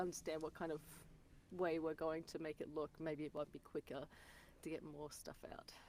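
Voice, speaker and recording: A woman speaks at a moderate pace with an Australian accent. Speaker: voice actor. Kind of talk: casual interview chat.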